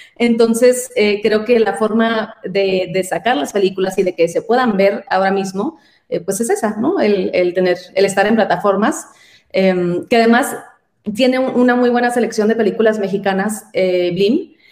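Her voice an unremarkable speaking voice, a woman talks at a fairly slow pace and a fairly high pitch with ordinary pitch variation. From Mexico, Sonora border (San Luis Río Colorado). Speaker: actress and writer. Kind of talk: interview conversation.

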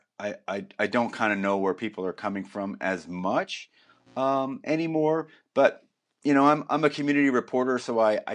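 Here is a man with an American accent and an unremarkable speaking voice. He talks at a moderate pace with ordinary pitch variation against a quiet background. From New Jersey. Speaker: documentary filmmaker. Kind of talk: interview.

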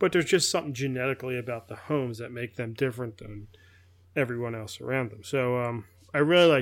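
A man with a medium-pitched voice talks at a very fast pace, his loudness swinging widely while his pitch varies in an ordinary way, on a very clean recording with a silent background. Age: 40s. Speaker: podcast co-host. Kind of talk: casual chat. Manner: halting.

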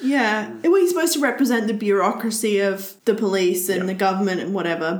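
A woman's fairly high-pitched voice with ordinary pitch variation, audible room echo, and noticeable background noise. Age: 30s. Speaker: podcast co-host. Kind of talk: casual chat.

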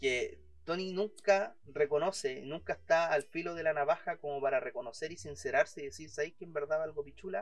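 Speaking at a fairly quick pace in a Chilean accent, a man uses a fairly high pitch with big swings in loudness. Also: ordinary pitch variation. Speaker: podcast co-host. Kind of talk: casual chat. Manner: animated.

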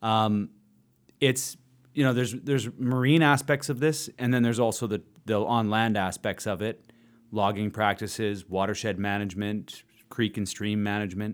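In a very clean recording with a silent background, a man with a Canadian accent and a normal speaking voice talks at a moderate pace, his pitch fairly low with ordinary variation. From British Columbia, Canada. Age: 40s. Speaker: politician and podcast host. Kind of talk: casual interview conversation.

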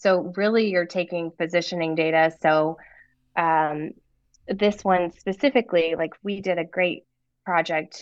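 Over a quiet background, a woman with an American accent uses a normal speaking voice, talking at a fairly slow pace with fairly even intonation and a fairly low pitch. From US South, North Carolina. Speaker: event business owner, former ocean engineer. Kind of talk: casual interview.

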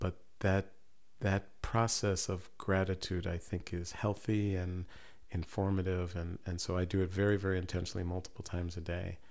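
A soft-spoken man talks at a moderate pace in a very deep, low voice. His intonation stays monotone and flat. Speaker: professor and poet. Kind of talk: interview chat.

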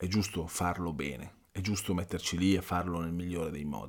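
The voice belongs to a man and sits very deep and low. The recording is very clean, with a silent background. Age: 50s. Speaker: life coach and podcast host. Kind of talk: motivational monologue. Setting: home recording. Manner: casual, hesitant with fillers.

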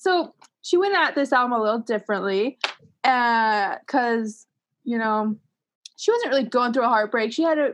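A woman with an American accent speaks at a fairly quick pace in a high pitch, her intonation lively against a quiet background. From Utah. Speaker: guest improviser. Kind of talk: casual chat.

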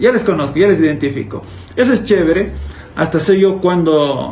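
A man with lively intonation amid noticeable background noise and audible room echo. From Ecuador, Cuenca. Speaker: YouTuber, former teacher. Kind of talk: casual chat.

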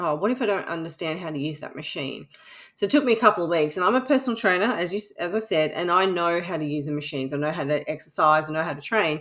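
Speaking very fast with an Australian accent, a woman uses a fairly low pitch and lively intonation. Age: 50s. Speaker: podcast host, fitness coach. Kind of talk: casual monologue. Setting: home recording under air conditioning.

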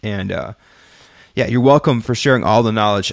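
A man's plain, everyday voice, fairly low in pitch with ordinary pitch variation. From California and Texas, US. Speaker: music marketing podcaster. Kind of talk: solo livestream talk to chat. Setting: live stream with chat. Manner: casual with many fillers.

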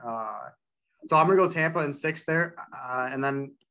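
Bright and sharp in tone, a man speaks at a medium pitch. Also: quiet background. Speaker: sports podcast host. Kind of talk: casual sports chat.

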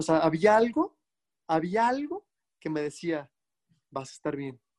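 A man speaks at a moderate pace in a high voice with lively intonation. The sound is dry and close, with no echo. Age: 20s. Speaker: life and wellness coach. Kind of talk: interview testimony. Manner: halting, many repetitions.

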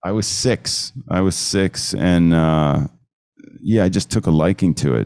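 In an American accent, a man speaks at a fairly slow pace. His very deep, low pitch shows ordinary variation. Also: dry, close sound with no echo. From New Jersey. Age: 50s. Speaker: photographer. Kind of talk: casual interview.

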